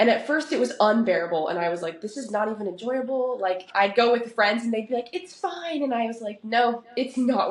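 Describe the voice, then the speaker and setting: A woman with a West Coast accent talks at a very fast pace, her fairly high pitch rising and falling with lively intonation over noticeable background noise. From Oregon, US. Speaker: professional soccer player. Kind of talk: podcast interview. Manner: casual, conversational.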